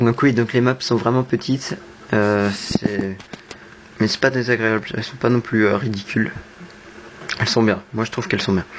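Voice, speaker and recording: With noticeable background noise behind him, a man at medium pitch speaks at a moderate pace with fairly even intonation and long, frequent pauses. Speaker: gamer. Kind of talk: gameplay commentary. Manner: not very expressive.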